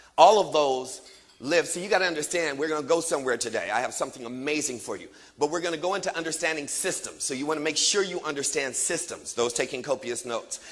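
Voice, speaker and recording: Noticeable background noise sits under a man talking at a very fast pace. His tone is animated, with ordinary pitch variation. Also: fairly high pitch for a man. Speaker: motivational speaker. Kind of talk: motivational seminar talk.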